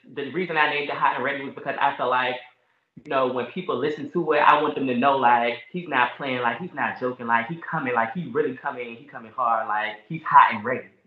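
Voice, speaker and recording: In an unremarkable speaking voice, a man with an American accent talks at a medium pitch with ordinary pitch variation. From US South, Richmond, Virginia. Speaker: rapper. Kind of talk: casual chat.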